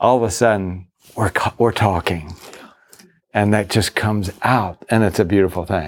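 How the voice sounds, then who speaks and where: In an ordinary speaking voice, a man speaks at a moderate pace with ordinary pitch variation. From US South, Virginia. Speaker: pastor. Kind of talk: conference workshop talk.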